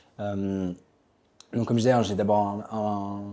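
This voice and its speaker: Dark and mellow, this voice has a distinct tone. Its pace is fairly quick. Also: man. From Belgium / France. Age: 30s. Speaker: author and tech ethicist. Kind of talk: interview. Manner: halting, many fillers.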